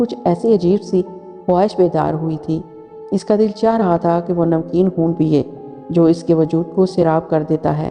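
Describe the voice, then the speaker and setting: A woman speaks with a fairly low pitch. Music plays in the background. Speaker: storyteller. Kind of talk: horror story narration.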